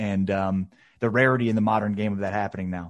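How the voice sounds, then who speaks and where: A man talks at a fairly quick pace with an American accent and an unremarkable speaking voice. His pitch varies in an ordinary way, and the background is quiet. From Chicago. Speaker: sports podcast co-host. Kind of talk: casual chat.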